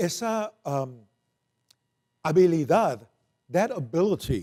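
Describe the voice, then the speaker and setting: Loud and high-pitched, a man speaks with a dark, mellow tone and very wide pitch swings. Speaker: preacher. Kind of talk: bilingual sermon. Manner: code-switching Spanish and English.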